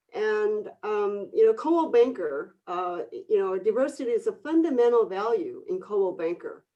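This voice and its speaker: In a Korean accent, a woman speaks at a fairly slow pace. Her pitch swings very widely. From Korea, moved to Northern California at 14. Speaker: real estate broker and coach. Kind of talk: webinar panel discussion.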